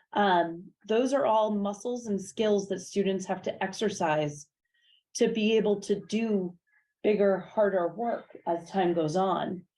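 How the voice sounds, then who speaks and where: Against a quiet background, a woman speaks at a medium pitch in a dark, mellow tone with fairly even intonation. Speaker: teacher. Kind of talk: public information session talk. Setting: meeting room with small live audience. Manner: hesitant with many fillers and repeats.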